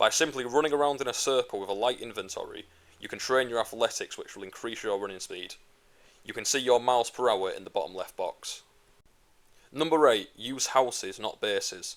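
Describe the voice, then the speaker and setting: This man has an English accent and medium pitch with ordinary pitch variation. He talks at a fairly quick pace with big swings in loudness. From England. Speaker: gaming YouTuber. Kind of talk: tutorial; casual chat. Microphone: gaming laptop recording.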